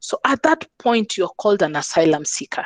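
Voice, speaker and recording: The voice moves at a moderate pace with very wide pitch swings, the sound dry and close with no echo. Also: woman. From Kenya. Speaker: lawyer and humanitarian worker. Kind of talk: webinar talk. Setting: video call.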